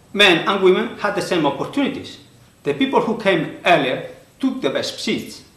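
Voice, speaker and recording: A man's high voice with very wide pitch swings at a moderate pace, with audible room echo and noticeable background noise. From Spain. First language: Spanish. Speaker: author and conference speaker. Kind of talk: prepared presentation. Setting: recorded video for online conference.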